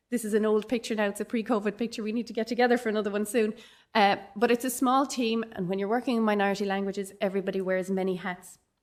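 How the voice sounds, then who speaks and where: A woman speaks at a very fast pace with a Dublin accent and fairly even intonation. Her pitch is fairly high, and the recording is very clean with a silent background. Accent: Dublin Irish English. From Ireland, Dublin. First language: Irish. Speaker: professor. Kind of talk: conference keynote.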